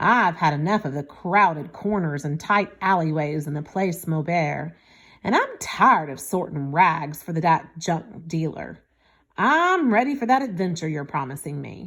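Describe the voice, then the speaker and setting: A gruff, grumpy put-on character voice with lively intonation at a moderate pace. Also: woman, fairly low pitch for a woman. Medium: read story.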